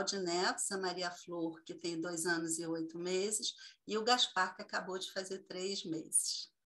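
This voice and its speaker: A woman speaks at a fairly slow pace in a medium pitch. Hers is an unremarkable speaking voice. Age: 60s. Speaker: tantra therapist. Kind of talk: casual video call interview.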